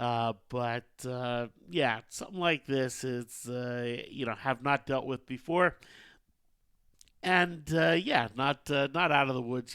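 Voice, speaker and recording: A man's bright, sharp voice at medium pitch, at a very slow pace. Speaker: trading webinar host. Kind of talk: market update talk. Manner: halting, many fillers.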